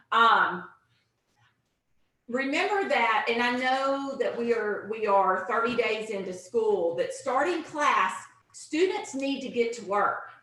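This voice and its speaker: Loud and high-pitched, a woman speaks at a very slow pace with lively intonation, and the room echo is audible. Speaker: teacher trainer / instructional coach. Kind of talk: online teacher training presentation. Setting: video conference, same room as co-presenter.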